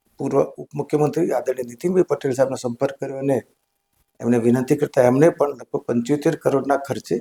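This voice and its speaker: Dry and close with no echo, a man's fairly high voice carries a dark, mellow tone. His intonation stays fairly even. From north Gujarat, India. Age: 60s. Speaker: politician, member of parliament. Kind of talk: interview.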